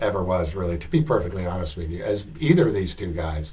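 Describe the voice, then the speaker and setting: In a room with audible echo, a man speaks in a somewhat breathy voice. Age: 60s. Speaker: golf commentator, former tour player. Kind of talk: video commentary / analysis. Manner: halting, many fillers.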